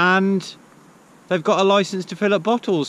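At a moderate pace, a man speaks in a dry recording with no echo. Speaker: van life vlogger. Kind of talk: casual vlog chat. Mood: cheerful, relaxed. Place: open country. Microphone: phone near.

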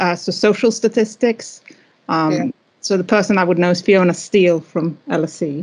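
This is a woman with a normal speaking voice at medium pitch. She keeps a moderate pace and ordinary pitch variation. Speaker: meeting chair; meeting host. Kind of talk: meeting chat and speaker introduction. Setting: video call. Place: office. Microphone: video call.

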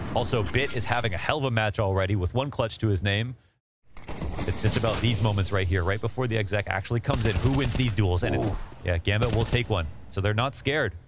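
A man with a fairly low pitch talks at a very fast pace with ordinary pitch variation. His loudness is very even, with noticeable background noise behind him. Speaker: esports caster. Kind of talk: live commentary. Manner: excitable.

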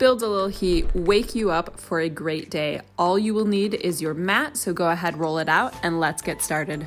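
A woman's fairly low voice at a moderate pace, with ordinary pitch variation, hardly any pauses and faint music in the background. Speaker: fitness instructor. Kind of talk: workout instruction. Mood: upbeat, warm. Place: home room.

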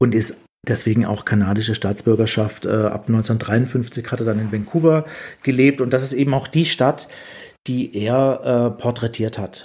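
A man speaks in a normal speaking voice at a medium pitch. His intonation is fairly even and his pace fairly slow. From southwest Germany, near Rottweil. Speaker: photographer and photobook author. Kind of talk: casual chat.

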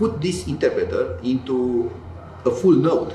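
A man talks at a fairly slow pace. Light background noise and audible room echo surround his voice. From Romania. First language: Romanian. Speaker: tech company founder and computer scientist; interviewee. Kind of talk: interview. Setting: in-person event. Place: office.

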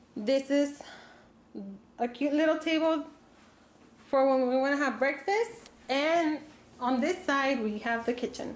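High-pitched speech from a woman with very even loudness, ordinary pitch variation and long, frequent pauses, plus audible room echo. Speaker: travel vlogger. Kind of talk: casual vlog room tour. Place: home room. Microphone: phone near.

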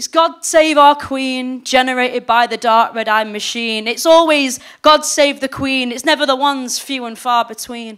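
Her voice sits high, with fairly even intonation and a moderate pace, and she hardly pauses at all. The woman's loudness swings widely against a quiet background. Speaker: slam poet. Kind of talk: spoken-word poetry performance with rhymes. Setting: stage with live audience. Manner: rhythmic, emphatic, declamatory delivery. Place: stage. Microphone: handheld.

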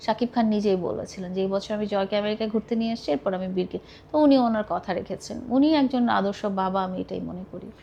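Here a woman speaks in a normal speaking voice. Her medium pitch varies an ordinary amount. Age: 40s. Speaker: film fan. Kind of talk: interview.

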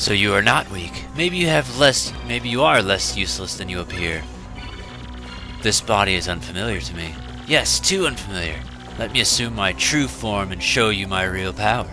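In a put-on character voice, a man speaks at a very deep, low pitch and a moderate pace over loud background music. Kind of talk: villain monologue. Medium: solo performance. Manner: imperious, menacing, scornful.

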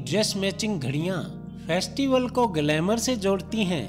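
Over music in the background, a man with a high pitch speaks with lively intonation. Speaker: voice-over artist. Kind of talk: TV commercial read.

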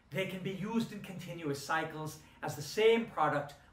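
Moderate-paced speech from a man, ordinary pitch variation, noticeable background noise underneath. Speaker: university instructor. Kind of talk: lecture.

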